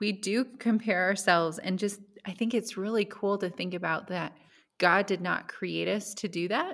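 Speaking in an unremarkable speaking voice, a woman keeps a medium pitch and fairly even intonation at a moderate pace. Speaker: podcast host. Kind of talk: casual chat.

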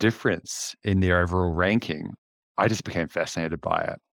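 The sound is dry and close, without any echo. A man talks at a moderate pace, his pitch varying an ordinary amount. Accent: New Zealand. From New Zealand, West Auckland. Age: 50s. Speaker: leadership coach and freediver. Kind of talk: casual interview chat.

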